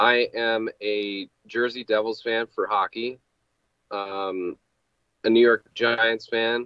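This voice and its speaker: Speech comes at a very slow pace in a monotone, flat intonation, the sound dry with no echo and the background quiet. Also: man. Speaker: guest. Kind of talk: interview answer. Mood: relaxed, friendly. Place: home room.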